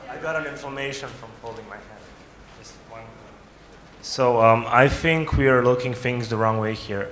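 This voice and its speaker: Through audible room echo and noticeable background noise, a man with a Croatian accent speaks at a moderate pace in a medium-pitched voice, his intonation fairly even, his loudness swinging widely, and his pauses long and frequent. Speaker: young diabetes advocate. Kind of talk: audience question at summit.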